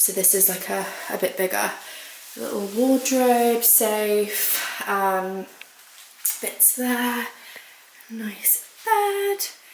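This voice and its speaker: A woman with a fairly high pitch talks at a very slow pace, with fairly even intonation and long, frequent pauses. Noticeable background noise and audible room echo are present. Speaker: lifestyle vlogger. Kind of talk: vlog. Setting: outdoors. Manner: chatty; quiet.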